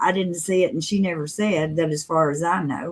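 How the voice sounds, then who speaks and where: A woman talks at a moderate pace with a Southern US accent. Her pitch sits fairly low. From US South, Mississippi. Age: 60s. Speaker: live streamer. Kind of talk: casual chat.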